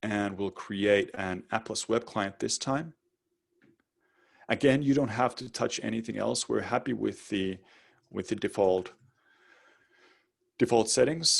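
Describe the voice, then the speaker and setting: Vocal fry marks this man's medium-pitched voice, which has ordinary pitch variation. He leaves long, frequent pauses. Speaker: webinar presenter. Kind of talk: live webinar tutorial. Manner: fast.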